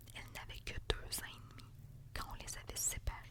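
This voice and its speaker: Whispering amid noticeable background noise. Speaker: ASMR reader. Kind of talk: reading aloud. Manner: soft-spoken.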